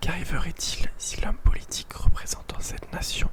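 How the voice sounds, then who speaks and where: Whispering at a fairly slow pace sits over noticeable background noise. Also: woman. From Paris, France. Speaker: ASMR content creator. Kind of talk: whispered ASMR reading of a philosophy text with commentary. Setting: home, window open with possible background noise. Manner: whispered, slow, soft.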